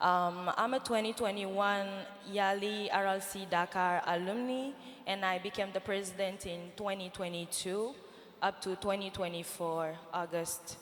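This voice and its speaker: A woman speaks at a moderate pace in a French accent, her medium pitch carried by fairly even intonation. Noticeable background noise and audible room echo fill the recording. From Niger. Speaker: nonprofit founder, fellowship alumna. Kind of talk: panel interview on stage. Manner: hesitant, many fillers.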